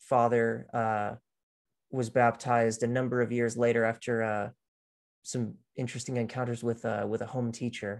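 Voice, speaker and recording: Speaking with an American accent, a man keeps a medium pitch and monotone, flat intonation at a fairly slow pace. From central Texas (Austin). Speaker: writer and former apologist. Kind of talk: interview.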